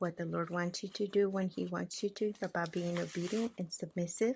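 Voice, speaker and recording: A woman's medium-pitched, somewhat breathy voice in a monotone, flat intonation. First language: not English (English is third language). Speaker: art journaling creator. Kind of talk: casual craft tutorial talk with faith reflection. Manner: casual, hesitant.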